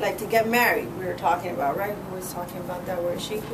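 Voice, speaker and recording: A woman talks amid noticeable background noise and audible room echo. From Cuba. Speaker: political candidate. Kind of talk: campaign speech. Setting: meeting room with audience. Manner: fast; animated.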